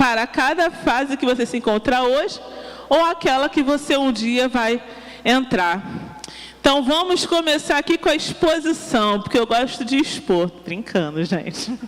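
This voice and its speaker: Shrill and high-pitched, this woman talks at a fairly slow pace in an animated tone with lively intonation and very even loudness over noticeable background noise. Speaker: preacher. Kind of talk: sermon.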